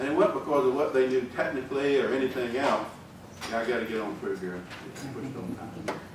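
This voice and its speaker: Over noticeable background noise and audible room echo, a man talks with a strong Southern US accent. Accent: deep Southern US. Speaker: engineering executive giving a talk. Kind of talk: conference speech. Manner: folksy, conversational.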